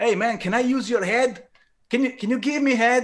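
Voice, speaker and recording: A man with an Italian accent at a fairly quick pace, against a quiet background. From Turin, Italy. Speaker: bass player and singer in a rock band. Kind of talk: casual interview chat.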